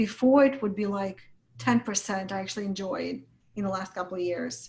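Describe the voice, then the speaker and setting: A somewhat breathy woman's voice at medium pitch, fairly quick in pace, with lively intonation. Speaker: business coach. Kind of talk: interview.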